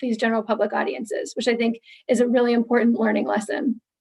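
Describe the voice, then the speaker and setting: A woman's fairly high voice with vocal fry. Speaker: staff presenter. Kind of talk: meeting presentation. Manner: fast.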